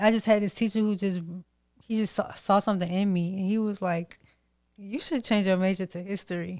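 In a very clean recording with a silent background, a woman talks at a fairly quick pace with fairly even intonation, medium pitch and a plain, everyday voice. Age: 20s. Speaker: podcast host. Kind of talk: casual chat.

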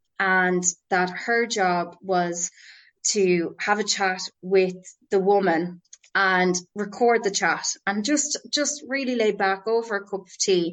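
Woman's medium-pitched voice at a very slow pace, with ordinary pitch variation. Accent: Irish. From Ireland, Roscommon (Boyle). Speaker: drama therapist. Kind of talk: casual interview. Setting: podcast interview.

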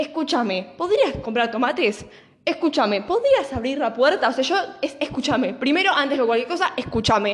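Against noticeable background noise, a woman in a Rioplatense accent speaks at a high pitch with lively intonation and an animated tone. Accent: Argentine Rioplatense Spanish. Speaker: podcast host. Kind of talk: casual monologue. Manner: fast.

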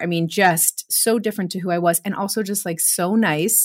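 A woman with an American accent talks at a moderate pace with fairly even intonation on a very clean recording with a silent background. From US Midwest, Chicago suburbs. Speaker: expat and former English teacher. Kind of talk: interview.

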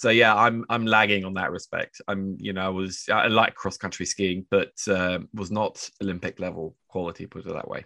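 A man with a fairly low pitch speaks with hardly any pauses. His intonation is flat and monotone, while his loudness swings widely. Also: moderate pace. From Norway. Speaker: financial journalist. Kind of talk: casual interview chat. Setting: video call from Oslo.

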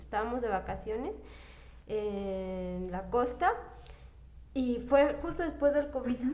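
A woman's fairly high voice with audible room echo. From Zacatecas, Mexico. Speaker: podcast guest. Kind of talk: casual chat.

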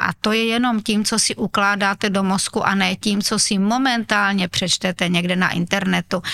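With a bright, sharp tone, a woman speaks at a moderate pace and medium pitch, with fairly even intonation and a dry, close sound with no echo. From Moravian Slovakia, Uherský Brod. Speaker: teacher, historian and mayor. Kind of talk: interview. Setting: town hall.

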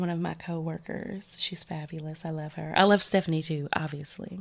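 A woman talks with ordinary pitch variation. Her recording is very clean, and the background is silent. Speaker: podcast host. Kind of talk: casual chat, storytelling. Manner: animated, chatty.

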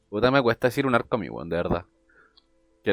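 A man speaks at medium pitch in a Chilean accent. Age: 20s. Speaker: podcast co-host. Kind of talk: casual chat.

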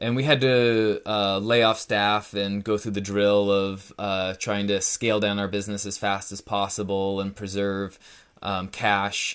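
With a West Coast US accent, a man talks at a fairly slow pace and fairly low pitch. His intonation is monotone and flat, and the background is quiet. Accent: American (West Coast). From Northern California. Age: 30s. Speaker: finance director. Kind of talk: casual interview.

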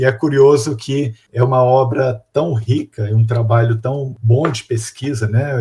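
Medium in pitch and somewhat breathy, a man's voice has a dark, mellow tone. He speaks at a fairly slow pace with fairly even intonation. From Minas Gerais, Brazil (Belo Horizonte). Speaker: researcher with a doctorate in information management. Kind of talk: interview.

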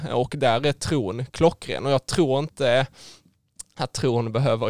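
A man at medium pitch talks in an ordinary speaking voice with fairly even intonation, captured in a very clean recording with a silent background and a dry, close sound with no echo. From southern Sweden (Skåne), rural. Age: 20s. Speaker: engineering student. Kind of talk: faith testimony interview. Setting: studio.

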